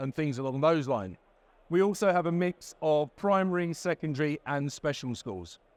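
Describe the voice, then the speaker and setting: This man's voice sits fairly high for a man, with ordinary pitch variation and a dry, close sound with no echo. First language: Spanish. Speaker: education technology lead and former teacher. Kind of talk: keynote presentation. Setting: exhibition stand with audience.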